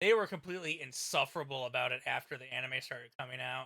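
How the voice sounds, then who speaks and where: A loud man with a high pitch, a bright, sharp tone and a fairly quick pace. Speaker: streamer. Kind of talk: casual chat.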